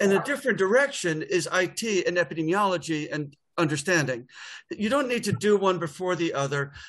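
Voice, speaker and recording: A man with a New York accent, high pitch, lively intonation and a fairly quick pace, over a quiet background. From US, New York. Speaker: public health data expert. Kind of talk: webinar presentation. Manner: fast.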